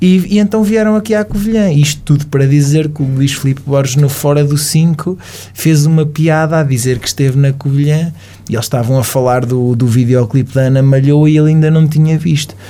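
Somewhat breathy, a man speaks at a fairly quick pace and fairly high pitch, with ordinary pitch variation and very even loudness. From Portugal, Caldas da Rainha. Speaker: radio presenter. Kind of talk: casual interview chat. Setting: studio.

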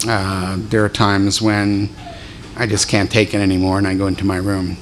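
Against noticeable background noise, a man with an American accent speaks at a fairly low pitch. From Philadelphia. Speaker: deacon. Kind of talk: talk to a church group.

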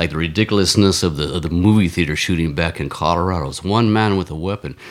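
This man's very deep, low voice shows ordinary pitch variation, with noticeable background noise behind it. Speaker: marathon runner and ex-Marine. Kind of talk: casual chat. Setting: studio.

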